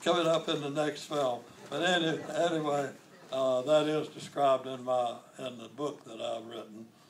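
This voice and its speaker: A man with an American accent and a fairly high voice speaks at a moderate pace with ordinary pitch variation and big swings in loudness over noticeable background noise. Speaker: war veteran. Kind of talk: interview answer.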